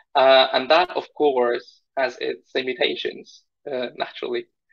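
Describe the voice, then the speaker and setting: A man speaks with a Polish accent. The background is quiet. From Poland. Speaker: research scientist; interview guest. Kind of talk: interview conversation. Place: home room. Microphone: video call.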